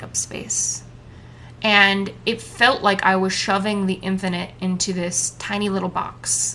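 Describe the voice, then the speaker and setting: A woman speaks loudly at a fairly slow pace. Her tone is bright and sharp. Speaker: solo podcaster. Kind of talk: casual monologue. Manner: talkative, rambling with side notes.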